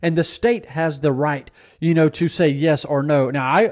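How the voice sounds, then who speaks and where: With a Mississippi accent, a man talks at a moderate pace with ordinary pitch variation. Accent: Southern US (Mississippi). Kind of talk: political commentary monologue, sermon-like.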